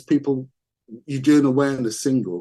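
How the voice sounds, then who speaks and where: A man speaks with a dark, mellow tone at a medium pitch. His pace is moderate and his intonation fairly even. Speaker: rock bass player. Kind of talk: interview. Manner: soft-spoken; halting, repeats words.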